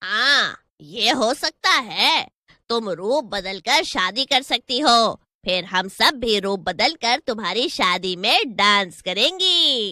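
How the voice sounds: A female-sounding cartoonish character voice delivered at a fairly slow pace. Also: fairly high pitch for a woman.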